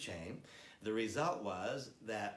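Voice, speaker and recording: With audible room echo, a man in an American accent speaks at a medium pitch with ordinary pitch variation. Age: 60s. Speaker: product trainer. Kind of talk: product training presentation.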